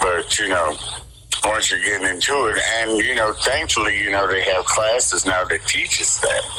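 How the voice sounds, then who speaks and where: A man talks with an American accent over noticeable background noise. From Cleveland, Ohio (East Side), US Midwest. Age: 60s. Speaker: graphic artist. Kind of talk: radio interview. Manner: halting, many restarts.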